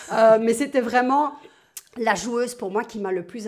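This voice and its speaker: A woman with a plain, everyday voice talks at a moderate tempo, her pitch varying in an ordinary way. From Belgium, Verviers. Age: 50s. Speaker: retired tennis player. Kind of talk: interview. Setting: at home.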